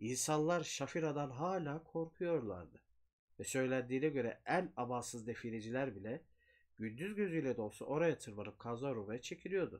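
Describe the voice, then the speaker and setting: Lively intonation marks a man speaking at a moderate pace. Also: quiet background. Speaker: horror storyteller. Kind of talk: horror story reading. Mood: eerie, suspenseful. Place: home room.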